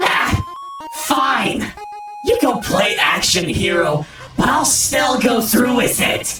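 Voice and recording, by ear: A woman's slow put-on character voice, fairly high-pitched and fairly bright, with big pitch swings, strong room echo and faint music in the background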